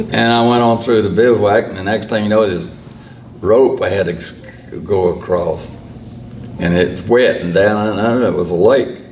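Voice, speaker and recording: A man with a North Carolina accent speaks at a fairly low pitch and moderate pace, with fairly even intonation and long, frequent pauses. Audible room echo and noticeable background noise fill the recording. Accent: Southern US (North Carolina). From US South, Lexington, North Carolina. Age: 80s+. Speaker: retired Air Force veteran. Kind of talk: casual interview.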